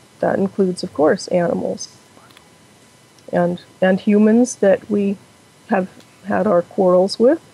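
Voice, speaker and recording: At a moderate pace, a woman with a medium pitch speaks against noticeable background noise. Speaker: Buddhist practitioner. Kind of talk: interview answer.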